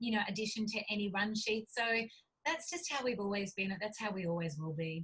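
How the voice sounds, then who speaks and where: A woman with an Australian accent speaks at a fairly quick pace. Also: medium pitch for a woman, lively intonation. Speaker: cookbook author and publisher. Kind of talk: interview. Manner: animated.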